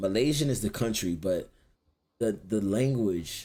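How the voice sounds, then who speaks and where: A man with an American accent. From Florida, US. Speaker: streamer. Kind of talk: casual chat.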